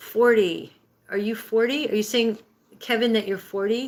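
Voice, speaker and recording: An unremarkable speaking voice from a woman, fairly high in pitch, with fairly even intonation and a moderate pace. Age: 60s. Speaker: livestream host, healing and breathwork coach. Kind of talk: live stream chat reading viewer comments. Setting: live stream.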